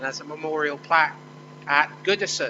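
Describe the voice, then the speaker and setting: Over noticeable background noise, a man with a Liverpool accent and fairly high pitch speaks at a fairly quick pace. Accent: Scouse. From Liverpool, England. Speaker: think tank director. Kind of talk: conference speech. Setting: conference hall with audience.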